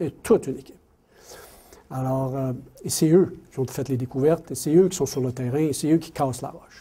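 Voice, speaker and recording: A man with a fairly high pitch and a dark, mellow, somewhat breathy tone talks at a fairly quick pace with ordinary pitch variation. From Quebec City, Quebec. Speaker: mining company executive. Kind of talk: lecture. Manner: animated, repetitive.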